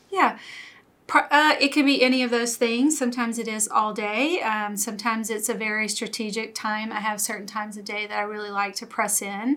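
With an American accent, a woman talks at a fairly quick pace and a fairly high pitch, using fairly even intonation in an unremarkable speaking voice. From US South (Louisiana). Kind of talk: testimony.

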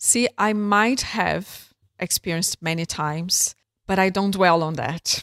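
A woman talks at a medium pitch in a Brazilian accent. The sound is dry and close, with no echo. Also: ordinary pitch variation, fairly slow pace. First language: Portuguese. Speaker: entrepreneur. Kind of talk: interview. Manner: halting.

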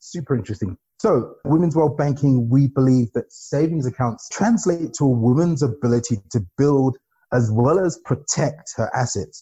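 A man's fairly high, somewhat breathy voice with a dark, mellow tone, lively intonation, and a moderate pace, in a dry, close sound with no echo. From not Nigeria; once lived there a few years. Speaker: podcast host and bank executive. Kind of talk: interview.

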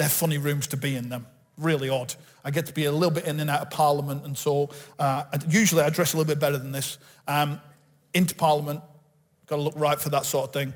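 A man talks very fast in a fairly high voice. His voice is somewhat breathy. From northern England, Bolton. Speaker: pastor. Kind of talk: sermon. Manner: animated.

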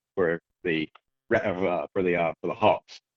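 A man talks in a Southern US accent. His intonation is monotone and flat. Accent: Southern US (Georgia). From US South, Georgia (near Athens). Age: 30s. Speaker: falconer and hunter. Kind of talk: casual interview.

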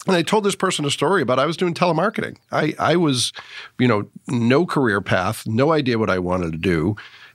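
A man with vocal fry talks at a fairly quick pace at medium pitch, his loudness very even and his pitch swinging very widely, on a very clean recording with a silent background. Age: 50s. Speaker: podcast host. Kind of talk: casual interview.

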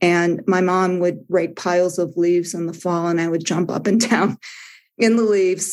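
The speaker has a normal speaking voice with an American accent. Delivery is at a moderate pace with fairly even intonation. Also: woman. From US Midwest. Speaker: spiritual teacher. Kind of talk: dharma talk. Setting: video call.

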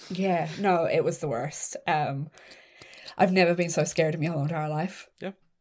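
With an Irish accent, a woman of fairly low pitch talks at a moderate pace with fairly even intonation on a very clean recording with a silent background. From Ireland. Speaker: horror film critic and podcast host. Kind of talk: casual chat.

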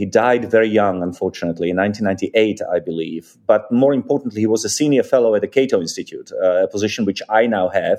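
Hardly pausing at all, a man speaks at a very fast pace. He has a Czech accent. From Czechoslovakia. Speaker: think tank senior fellow and author. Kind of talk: interview discussion. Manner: halting, hesitant with fillers.

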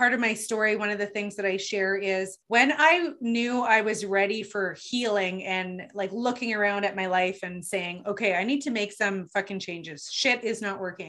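A woman speaks at a moderate pace and medium pitch, with ordinary pitch variation and hardly any pauses. It is an unremarkable speaking voice. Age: 40s. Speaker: podcast host and life coach. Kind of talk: interview.

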